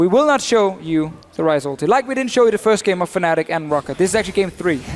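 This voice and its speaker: A high-pitched man with a Danish accent, talking at a very fast pace with lively intonation. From Denmark. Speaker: esports commentator. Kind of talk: live commentary.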